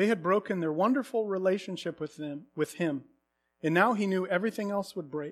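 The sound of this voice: An unforced reading voice over a quiet background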